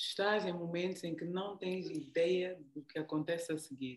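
Fairly low in pitch, a woman's voice keeps fairly even intonation. She talks at a fairly slow pace. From Angola, raised largely in the Netherlands. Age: 40s. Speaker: leadership coach. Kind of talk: interview. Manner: halting.

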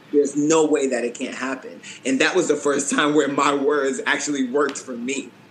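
A man of fairly high pitch at a moderate pace with fairly even intonation and noticeable background noise. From Boston, Massachusetts. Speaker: professional dancer and choreographer. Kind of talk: casual interview chat.

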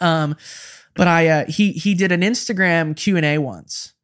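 A man with an American accent speaks in a fairly high pitch with ordinary pitch variation on a very clean recording with a silent background. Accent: Midwestern with a slight Southern creep. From Kansas (Wichita), US Midwest. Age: 20s. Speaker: touring guitarist and pop singer-songwriter. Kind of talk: casual chat. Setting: living room.

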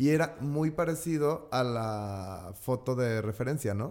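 This man has a normal speaking voice at medium pitch. His pitch variation is ordinary. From Mexico, Guadalajara. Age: 30s. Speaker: event designer. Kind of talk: casual chat.

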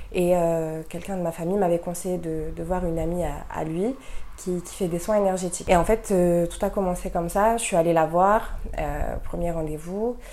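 In a room with audible echo, a woman with a fairly low pitch talks at a moderate pace and fairly even intonation. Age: 20s. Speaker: guest sharing esoteric experiences. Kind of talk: casual chat.

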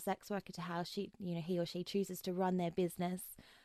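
Very fast speech from a woman with an Australian accent, medium in pitch, with fairly even intonation and a dry, close sound free of echo. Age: 30s. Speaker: sex worker. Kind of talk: interview conversation. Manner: frequent fillers and hesitations.

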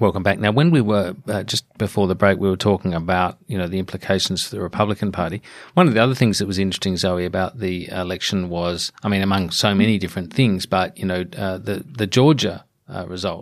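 In a very clean recording with a silent background, a man with an Australian accent speaks at a very fast pace, his pitch very deep and low with ordinary pitch variation. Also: hardly any pauses. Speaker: podcast host. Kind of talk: interview discussion.

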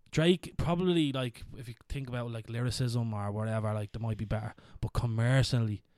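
A man talking at a fairly quick pace, the sound dry and close with no echo, on a very clean recording with a silent background. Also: medium pitch for a man, ordinary pitch variation. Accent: Irish. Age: 30s. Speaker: podcast host. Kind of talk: casual chat.

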